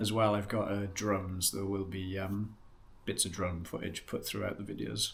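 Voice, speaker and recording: Somewhat breathy speech at a fairly quick pace, with a Welsh accent. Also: man. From West Wales. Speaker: outdoor vlogger. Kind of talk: casual vlog intro. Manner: casual, hesitant with fillers.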